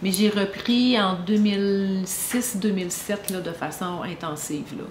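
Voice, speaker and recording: Against noticeable background noise and audible room echo, a woman in a Quebec accent speaks at a very slow pace with a medium pitch and fairly even intonation. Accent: Québécois French. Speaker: podcast co-host. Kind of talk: casual chat.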